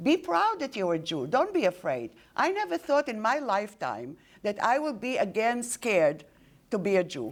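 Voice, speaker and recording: A woman with a fairly high pitch and vocal fry talks at a moderate pace, her pitch swinging very widely. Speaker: Holocaust survivor. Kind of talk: speech. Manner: halting.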